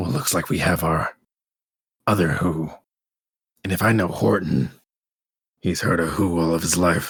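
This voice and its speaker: Using a put-on character voice, a man speaks with a raspy, very deep, low pitch at a moderate pace, leaving long, frequent pauses. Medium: actual play.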